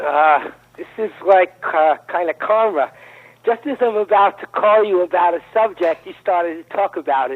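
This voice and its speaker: A man with a New York accent and a high pitch talks at a moderate pace, with big swings in loudness. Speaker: caller. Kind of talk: phone-in call.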